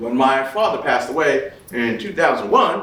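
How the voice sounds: A man at a moderate pace, fairly bright in tone, with strong room echo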